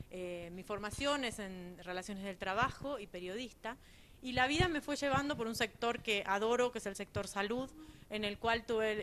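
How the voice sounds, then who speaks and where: A woman with a medium-pitched voice speaks at a moderate pace. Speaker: people and culture executive. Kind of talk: panel discussion.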